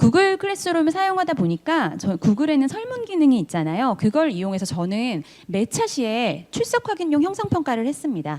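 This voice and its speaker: A woman's high-pitched voice with very wide pitch swings at a fairly quick pace. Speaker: teacher. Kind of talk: conference presentation. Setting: online forum. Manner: fast.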